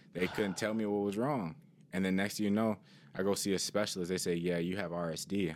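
A man with an ordinary speaking voice, an American accent, a fairly low pitch, fairly even intonation and a fairly quick pace. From Cleveland, Ohio. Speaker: former student athlete. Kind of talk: personal testimony.

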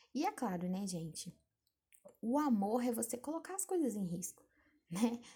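A woman's fairly high, dark and mellow voice at a fairly slow pace, with very wide pitch swings. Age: 20s. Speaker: podcaster. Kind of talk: solo advice monologue. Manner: casual, conversational.

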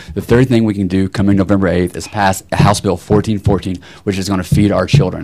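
Noticeable background noise sits behind a man with a very deep, low voice. He moves at a fairly quick pace with ordinary pitch variation. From Tennessee. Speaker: political candidate. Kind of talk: town hall panel discussion.

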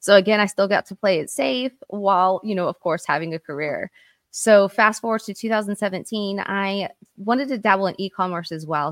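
Here a woman with an American accent speaks at a moderate pace, her medium pitch showing ordinary variation. The recording is very clean and dry, close with no echo over a silent background. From Oklahoma, US. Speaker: real estate agent and entrepreneur. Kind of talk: casual interview.

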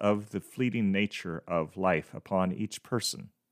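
A man with a plain, everyday voice and fairly low pitch speaks at a moderate pace, in a very clean recording with a silent background and a dry, close sound with no echo. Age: 50s. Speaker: podcast host. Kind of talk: devotional monologue.

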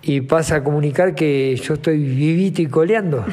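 There is audible room echo as a man speaks at a moderate pace. His pitch is fairly high, with ordinary pitch variation. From Uruguay, Montevideo. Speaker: retired footballer. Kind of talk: interview.

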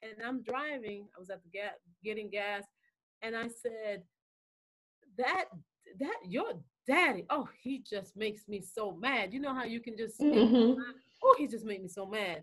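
A woman's fairly high-pitched voice at a moderate pace, with ordinary pitch variation, big swings in loudness and long, frequent pauses. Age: 50s. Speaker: hair care business owner. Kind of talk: casual interview.

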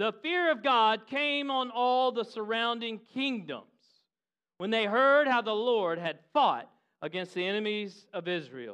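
At a fairly slow pace, the speaker sounds animated, with lively intonation and a bright, sharp tone over a quiet background. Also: man, high pitch for a man. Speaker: preacher. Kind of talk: sermon. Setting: church with live congregation, also filmed. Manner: animated, urgent, rallying the congregation with call-and-response; exhorting, building intensity with repeated phrases.

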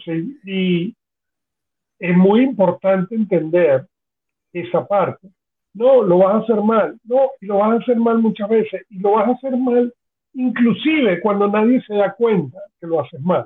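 Here a man with a high pitch speaks at a fairly slow pace. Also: ordinary pitch variation. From Venezuela. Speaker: podcast co-host. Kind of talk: casual chat.

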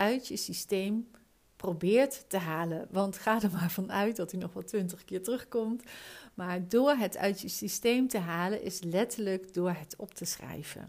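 In a very clean recording with a silent background, a woman talks very slowly in a medium pitch with ordinary pitch variation. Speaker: business coach. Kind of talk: solo podcast talk. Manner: calm.

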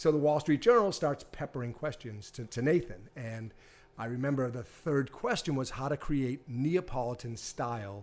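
A man's voice at medium pitch, a normal speaking voice with lively intonation and a moderate pace. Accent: American. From Boston area, Massachusetts. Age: 50s. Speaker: pizza equipment business owner. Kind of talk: casual interview. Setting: test kitchen.

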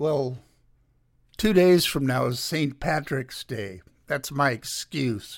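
Speaking at a very slow pace, a man uses lively intonation and a fairly high pitch. Long pauses come often. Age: 80s. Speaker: radio host. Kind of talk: solo radio show monologue, political commentary and memoir.

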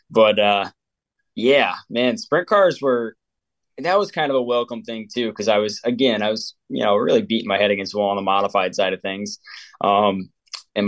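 An ordinary speaking voice with an American accent moves at a moderate pace, recorded with a dry, close sound, no echo and a quiet background. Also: man. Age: 20s. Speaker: race car driver. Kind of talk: interview.

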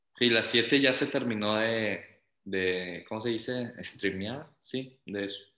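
Bright and sharp in tone, a man speaks at a medium pitch with fairly even intonation. His pace is very slow. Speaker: podcast co-host. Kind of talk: casual chat.

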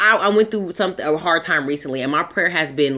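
A woman speaks with very wide pitch swings in a bright, sharp, animated tone. The recording is very clean, with a silent background. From Southern California. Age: 30s. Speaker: podcast co-host. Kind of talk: casual chat.

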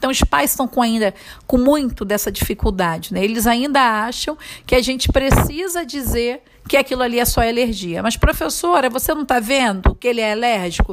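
A high-pitched woman's voice with lively intonation, at a moderate pace over noticeable background noise. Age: 40s. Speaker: preschool teacher. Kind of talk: interview answers.

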